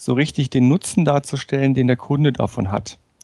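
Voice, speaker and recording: A man talks with fairly even intonation and a dark, mellow tone at a fairly high pitch. The sound is dry and close, with no echo. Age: 40s. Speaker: management trainer and speaker. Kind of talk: interview conversation. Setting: remote call.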